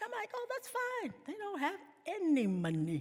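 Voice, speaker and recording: At an extremely high pitch, a woman with a South African accent speaks in a raised, projected voice at a moderate pace. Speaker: keynote speaker. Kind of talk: keynote speech.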